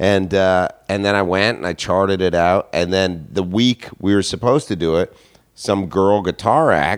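This is a man's voice. His pitch is fairly low. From Canada, Toronto. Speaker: stand-up comedian. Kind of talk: casual chat.

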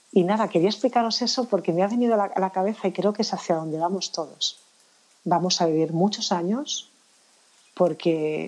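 Noticeable background noise sits behind the speech. The woman's pitch varies in an ordinary way. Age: 50s. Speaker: anti-aging professional. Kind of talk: interview.

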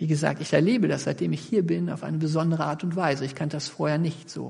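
A man speaks with vocal fry at a fairly high pitch. Audible room echo surrounds his voice. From Sauerland region, western Germany. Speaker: pastor. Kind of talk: sermon.

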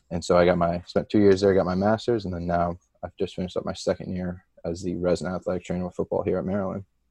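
Talking at a very fast pace, the man has a very deep, low pitch and a dark, mellow tone, with monotone, flat intonation in a dry, close recording with no echo. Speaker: athletic trainer. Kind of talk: casual interview chat.

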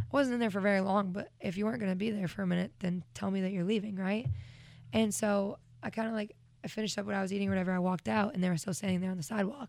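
The speech comes at a very fast pace. Pitch varies in an ordinary way. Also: woman, medium pitch for a woman. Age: 20s. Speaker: singer-songwriter. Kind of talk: casual chat. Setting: studio.

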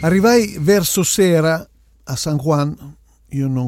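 A man talks at a fairly slow pace. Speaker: podcast host, Latin music DJ/record scout. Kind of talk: storytelling monologue. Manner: casual, hesitant fillers.

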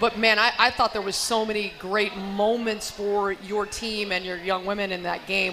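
With noticeable background noise, a woman at a medium pitch speaks at a moderate pace with fairly even intonation. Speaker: radio broadcaster host. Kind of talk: live radio interview. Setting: live at restaurant.

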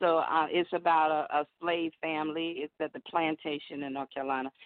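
A woman with a Southern US accent speaks in a very deep, low pitch with fairly even intonation. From Alabama, US South (Birmingham). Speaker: blues singer. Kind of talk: casual phone interview. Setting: phone call.

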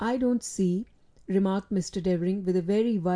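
The speaker reads in a natural reading voice.

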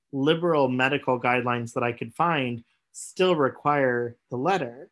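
A man with an American accent speaks in an unremarkable speaking voice. His pitch is medium, with ordinary variation. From US Midwest/South (Missouri and Oklahoma). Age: 30s. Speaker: gender doula and graduate student. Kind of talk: interview conversation.

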